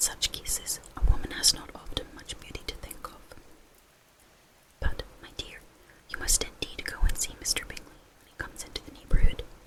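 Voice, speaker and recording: Someone whispers at a fairly quick pace with long, frequent pauses over noticeable background noise. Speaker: ASMR reader. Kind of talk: read classic novel chapter. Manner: whispered.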